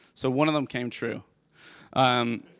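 With a Dublin accent, a man speaks at a fairly low pitch with vocal fry and fairly even intonation, in a very clean recording with a silent background and a dry, close sound with no echo. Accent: Irish (Dublin). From Ireland, Dublin. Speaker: tech company CEO. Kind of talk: interview on stage.

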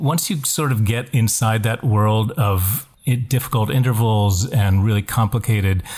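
A man with an American accent speaks at a moderate pace and medium pitch, with ordinary pitch variation. His voice is somewhat breathy, and his loudness stays very even. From West Virginia. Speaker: stage actor and singer. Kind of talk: casual chat. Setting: remote call from home.

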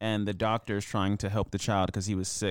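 A man with a fairly low pitch and an ordinary speaking voice, fairly even intonation, a very clean recording with a silent background, and a dry, close sound with no echo. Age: 20s. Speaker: podcast co-host. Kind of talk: casual chat.

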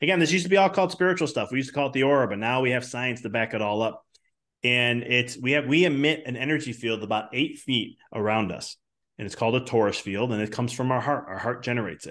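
Speaking very fast with an American accent, a man uses a medium pitch and ordinary pitch variation. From Chicago. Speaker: business coach and chiropractor. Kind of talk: podcast interview.

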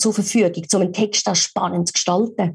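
Speaking with a Swiss accent, a woman uses a dark, mellow tone that is somewhat breathy, keeping a moderate pace and ordinary pitch variation. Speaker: voice-over artist and speech coach. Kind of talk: casual interview.

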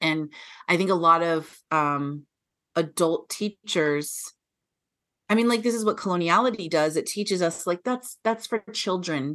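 Against a quiet background, a woman with a fairly low pitch talks in a normal speaking voice with ordinary pitch variation. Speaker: PhD student and teacher. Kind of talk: casual interview conversation.

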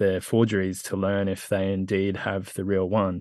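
Speaking with an Australian accent, a man has a fairly low pitch. He talks at a fairly slow pace. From rural Australia. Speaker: skateboarder and crypto founder. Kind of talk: casual interview chat. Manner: halting, many fillers.

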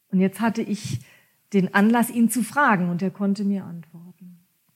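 The voice is somewhat breathy, with ordinary pitch variation and big swings in loudness. It moves at a moderate pace with long, frequent pauses. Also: woman, medium pitch for a woman. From Germany, Kurpfalz region. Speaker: coach and mediator. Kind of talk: podcast interview.

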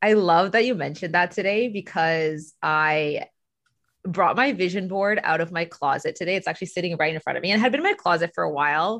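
A woman's unremarkable speaking voice, fairly low in pitch with ordinary pitch variation, at a fairly quick pace over a quiet background. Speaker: Reiki practitioner and life coach. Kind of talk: casual interview conversation.

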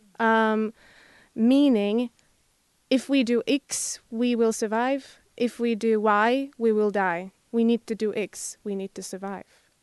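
In a Slovak accent, a woman with a fairly high voice speaks at a very slow pace with fairly even intonation, in a dry, close sound with no echo and a quiet background. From Slovakia. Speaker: international student. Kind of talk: academic discussion. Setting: studio. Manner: halting.

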